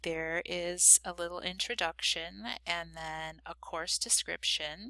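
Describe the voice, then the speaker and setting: This woman's voice has a bright, sharp tone. The recording is very clean, with a silent background. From US, Cuban-American family. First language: Spanish. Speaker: university instructor. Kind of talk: course introduction video. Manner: many fillers, informal.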